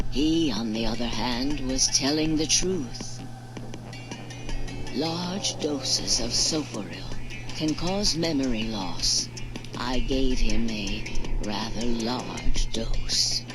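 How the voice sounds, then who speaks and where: A put-on character voice with a low-to-middle pitch moves at a very slow pace over loud background noise. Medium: solo performance. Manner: calm, measured.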